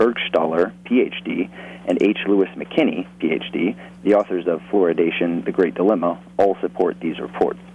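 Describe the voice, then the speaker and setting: A man with a very deep, low voice talks at a moderate pace, his intonation lively, while noticeable background noise runs beneath. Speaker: caller. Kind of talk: call-in, reading aloud from a book. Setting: phone call.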